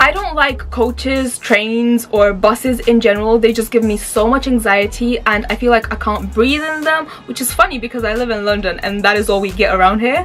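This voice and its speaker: Against noticeable background noise, a woman speaks in an animated tone at a fairly high pitch with hardly any pauses. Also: ordinary pitch variation, moderate pace. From Romania, moved to UK at four, lived in several countries. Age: 20s. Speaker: YouTuber. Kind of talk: casual vlog monologue. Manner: chatty, animated.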